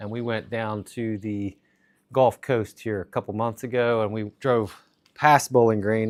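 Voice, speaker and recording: A man talks at a fairly slow pace with monotone, flat intonation. The recording is very clean, with a silent background. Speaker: streamer. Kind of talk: casual chat. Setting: live stream.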